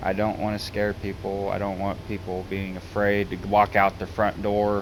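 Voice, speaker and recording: Speaking with a Southern US accent, a man with fairly low pitch holds a moderate pace and monotone, flat intonation. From US South. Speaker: gaming YouTuber. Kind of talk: casual vlog monologue. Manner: halting.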